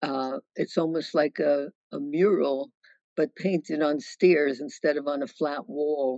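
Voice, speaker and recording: In a dry recording with no echo, a woman with an American accent speaks at a fairly slow pace, her very deep, low pitch held in fairly even intonation. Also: quiet background. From New York City, Brooklyn; New York City. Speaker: author and widow of a sociologist. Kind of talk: virtual book talk Q&A. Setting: video call. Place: home room. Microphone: video call.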